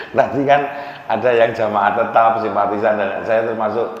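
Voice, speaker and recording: With a Central Javanese accent, a man of medium pitch talks at a moderate pace and fairly even intonation, amid noticeable background noise and audible room echo. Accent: Demak Javanese accent in Indonesian. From Central Java, Demak. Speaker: biology lecturer giving religious talk. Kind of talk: sermon. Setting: mosque.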